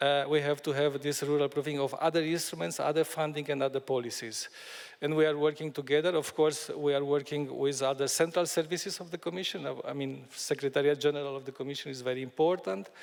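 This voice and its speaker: With a Romanian accent, a man talks at a very fast pace with hardly any pauses, using a fairly high pitch and fairly even intonation. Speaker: EU Commission official. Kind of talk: panel discussion. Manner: halting, many fillers.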